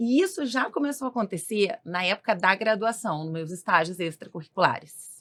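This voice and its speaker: A woman's fairly high voice with very wide pitch swings, on a very clean recording with a silent background. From southern Brazil, Rio Grande do Sul. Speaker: clinical nutritionist. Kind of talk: podcast interview.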